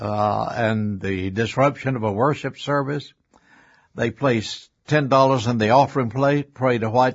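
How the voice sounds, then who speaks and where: Using fairly even intonation, a man with a Southern US accent talks at a moderate pace in a medium-pitched voice. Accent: US South. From Alabama. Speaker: retired pastor. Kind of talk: interview. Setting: studio.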